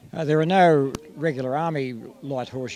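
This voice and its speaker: There is noticeable background noise as a man talks with ordinary pitch variation. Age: 70s. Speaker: light horse troop leader, army veteran. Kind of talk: interview.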